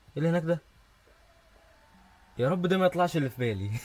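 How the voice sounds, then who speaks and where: A man speaks with an Egyptian accent at a very fast pace. His intonation is lively. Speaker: gaming youtuber. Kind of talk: let's play commentary.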